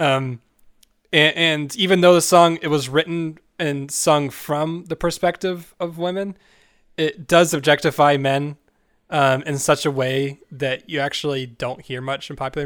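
In a very clean recording with a silent background, a man with a plain, everyday voice and a fairly high pitch speaks at a moderate pace with fairly even intonation. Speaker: podcast host. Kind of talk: casual chat.

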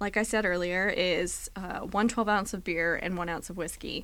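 The speaker has a plain, everyday voice. The pace is moderate, with ordinary pitch variation. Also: woman. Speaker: podcast co-host. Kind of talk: casual chat.

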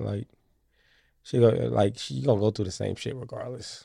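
A man's fairly low, dark, mellow and somewhat breathy voice against a quiet background. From US Midwest, Kansas City Missouri. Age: 20s. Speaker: comedian and internet video creator. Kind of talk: casual chat. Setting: studio.

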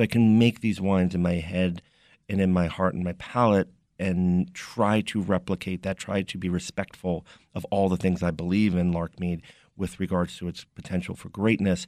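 A man with an American accent speaks at a moderate pace in a very deep, low voice, his delivery monotone and flat, the sound dry and close with no echo over a quiet background. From New York City, Brooklyn. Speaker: winemaker. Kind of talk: interview.

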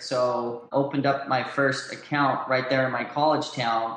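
There is audible room echo around a man whose voice is fairly high. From Southern California. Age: 30s. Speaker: clothing brand founder. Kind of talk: interview.

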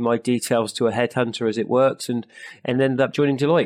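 This man talks at a fairly quick pace in a monotone, flat intonation. His pitch is medium, and the background is quiet. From southwest England. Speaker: management consulting partner. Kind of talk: interview.

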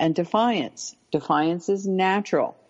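Speaking fairly slowly, a woman with an unremarkable speaking voice talks at a medium pitch with ordinary pitch variation. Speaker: parenting expert, podcast guest.

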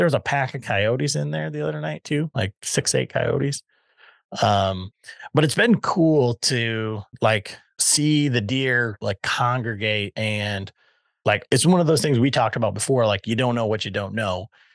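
At a moderate pace, a man speaks in an unremarkable speaking voice of medium pitch with lively intonation. The sound is dry and close, with no echo and a quiet background. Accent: American. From West Michigan. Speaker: podcast host and bowhunter. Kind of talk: casual chat.

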